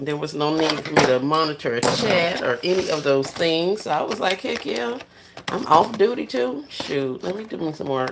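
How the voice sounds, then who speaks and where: A soft-spoken woman talks with lively intonation in a very deep, low pitch. Her pace is moderate, with noticeable background noise. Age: 40s. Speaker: livestreamer. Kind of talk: casual chat.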